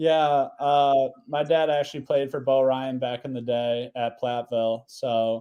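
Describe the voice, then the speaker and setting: A man speaks in an Upper Midwest accent with monotone, flat intonation. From Wisconsin, US. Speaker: college basketball player. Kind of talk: casual interview.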